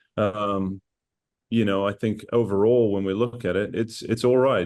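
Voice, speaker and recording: A man speaks with a New Zealand accent at a fairly low pitch. The background is quiet. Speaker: assistant football coach. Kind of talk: casual interview.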